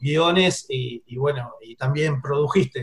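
A man is speaking. He has an Argentine accent. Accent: Argentine Spanish (voseo). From Argentina. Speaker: film radio show host. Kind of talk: interview. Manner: casual, some hesitations.

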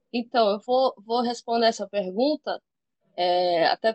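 A woman speaks in a plain, everyday voice, fairly high in pitch with lively intonation, at a fairly slow pace. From Maceió, Alagoas, Brazil. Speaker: cannabis activist. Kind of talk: interview.

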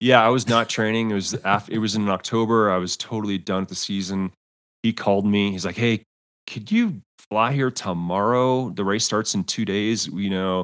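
A man with an American accent talks in an ordinary speaking voice at a fairly low pitch. His pace is moderate and his intonation fairly even. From US. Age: 50s. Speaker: former pro cyclist and coach. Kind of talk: casual interview chat. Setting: remote call.

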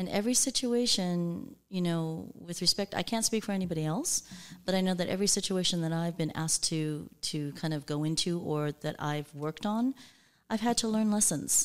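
Recorded very cleanly against a silent background, a woman with an American accent and an ordinary speaking voice talks at a moderate pace with ordinary pitch variation. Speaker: executive coach. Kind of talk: casual interview chat. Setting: studio.

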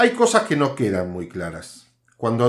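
A man talks at a moderate pace and medium pitch in an unremarkable speaking voice, captured in a very clean recording with a silent background. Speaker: podcast host, political commentator. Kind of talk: opinion monologue.

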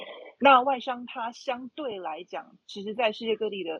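A woman has a plain, everyday voice. She speaks at a moderate pace with lively intonation. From Taiwan, Taipei. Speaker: marketing director. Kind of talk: casual chat. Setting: online audio room.

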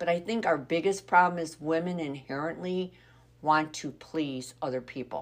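At a moderate pace, a woman talks in a very deep, low pitch. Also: ordinary pitch variation. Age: 60s. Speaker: podcast co-host, grandmother. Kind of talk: casual chat.

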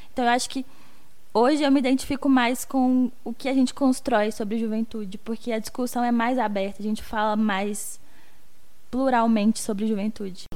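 The delivery moves at a moderate pace with fairly even intonation. Room echo is audible. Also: woman, fairly high pitch for a woman. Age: 20s. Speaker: podcast co-host, youth researcher. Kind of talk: casual chat.

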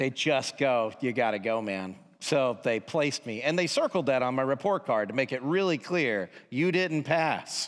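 In an American accent, a man talks at a moderate pace with hardly any pauses, in an ordinary speaking voice of medium pitch. His intonation is lively, and the recording is very clean with a silent background. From Georgia, US (near Atlanta). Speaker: pastor. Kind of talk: testimony; sermon.

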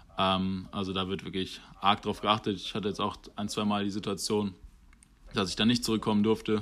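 A man's fairly low voice, monotone and flat in intonation, at a fairly quick pace. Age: 20s. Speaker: rugby player. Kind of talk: podcast interview. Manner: hesitant, many fillers.

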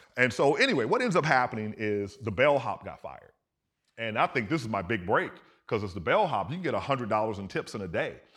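Talking at a very fast pace, a man with an American accent uses lively intonation. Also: medium pitch for a man. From US South. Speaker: astrophysicist. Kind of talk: interview chat. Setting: stage with audience.

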